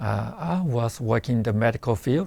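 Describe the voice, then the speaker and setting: A man speaks at a fairly slow pace, somewhat breathy. The recording is very clean, the background silent. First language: not English. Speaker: nursing student, former surgeon. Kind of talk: interview testimony.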